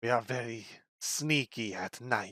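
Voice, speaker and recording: Putting on a raspy character voice, a man talks at a moderate pace at a medium pitch. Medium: actual play. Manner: sullen, curt.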